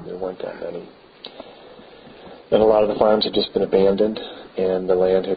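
In an American accent, a man talks at a fairly quick pace and fairly low pitch, with monotone, flat intonation and big swings in loudness. Long, frequent pauses break up his speech over light background noise. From Beaver Island, Michigan, USA; Michigan. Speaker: local historian. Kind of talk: oral history interview. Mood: calm, reflective. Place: church.

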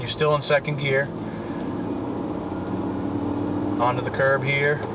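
Loud background noise surrounds a man speaking at a moderate pace. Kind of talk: commentary. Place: car.

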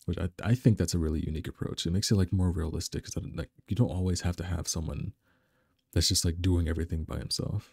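Very fast and somewhat breathy, a man with a very deep, low pitch talks in a fairly even intonation, the sound dry and close with no echo and the recording very clean over a silent background. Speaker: anime reviewer. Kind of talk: casual anime review talk.

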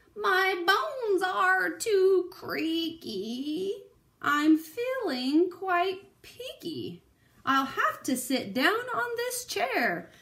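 A woman's put-on character voice at an extremely high pitch and a very slow pace. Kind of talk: bedtime story. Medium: read story. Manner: complaining, comic.

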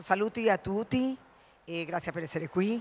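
A woman talks with a Spanish accent. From Colombia. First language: Spanish (speaking Italian). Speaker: ambassador. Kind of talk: formal welcome speech. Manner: hesitant, many fillers. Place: hall. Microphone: handheld.

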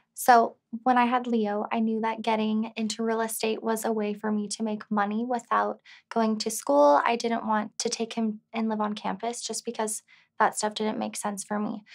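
A woman speaks with flat, monotone intonation. The background is quiet. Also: moderate pace. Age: 20s. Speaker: real estate agent and single mother; interviewee. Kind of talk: interview. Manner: casual, filler-heavy. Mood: open, personal, reflective. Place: studio.

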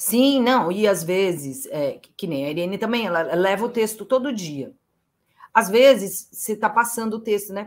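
A woman talks in an ordinary speaking voice at a moderate pace. Her intonation is lively. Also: medium pitch for a woman. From São José do Rio Preto, interior of São Paulo state, Brazil; São Paulo, Brazil. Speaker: playwright and actress; actress. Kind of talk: interview. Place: home room.

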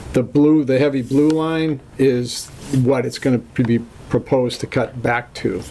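A man with an American accent, medium-pitched and monotone with flat intonation, at a moderate pace over light background noise. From Massachusetts. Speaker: land surveyor. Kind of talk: public hearing presentation. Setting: town hall meeting room. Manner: formal. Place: meeting room.

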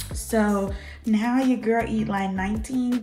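A woman at a fairly slow pace with faint music in the background. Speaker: fitness vlogger. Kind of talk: casual vlog chat. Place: home room. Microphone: camera far.

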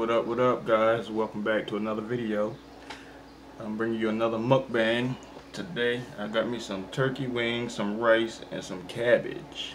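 A man speaks at a moderate pace with fairly even intonation. Light background noise sits behind him. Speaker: mukbang vlogger. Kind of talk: casual vlog chat. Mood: relaxed, friendly. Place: home room. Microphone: phone near.

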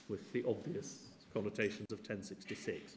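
Fairly slow speech from a man amid audible room echo. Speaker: history professor. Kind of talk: lecture; Q&A answers. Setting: lecture theatre with audience. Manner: seated while speaking.

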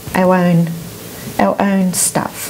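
A woman speaks in an Australian accent over light background noise. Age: 60s. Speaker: EFT practitioner. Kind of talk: interview. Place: studio. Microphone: lapel.

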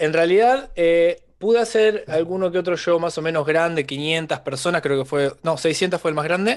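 A man with an Argentine accent speaks at a moderate pace, with hardly any pauses, and his loudness stays very even. His pitch is high with ordinary variation, against a quiet background. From Argentina, San Nicolás de los Arroyos (Buenos Aires province); Buenos Aires province, Argentina. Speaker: stand-up comedian. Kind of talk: casual chat. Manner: talkative. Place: home room. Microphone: studio mic.

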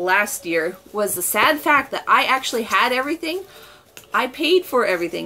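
The speech moves at a moderate pace, with faint music in the background. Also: woman. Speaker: beauty haul vlogger. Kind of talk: casual vlog chat. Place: home room. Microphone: camera far.

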